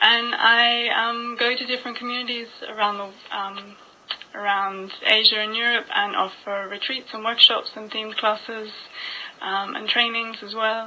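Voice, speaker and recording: At a moderate pace, a woman speaks with a fairly high pitch and monotone, flat intonation, her loudness swinging widely amid noticeable background noise. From Australia, Byron Bay area (New South Wales). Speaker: yoga teacher. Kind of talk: radio interview. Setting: radio studio.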